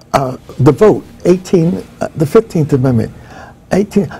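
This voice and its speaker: With lively intonation, a man speaks in an American accent. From northern New Jersey, US. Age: 70s. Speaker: professor. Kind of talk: interview.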